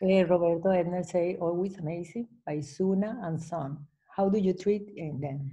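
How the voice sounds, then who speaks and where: The woman's intonation stays fairly even. She speaks at a moderate pace. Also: fairly low pitch for a woman, quiet background. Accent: Spanish. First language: Spanish. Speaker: webinar moderator. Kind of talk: event introduction and Q&A moderation. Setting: video call. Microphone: video call.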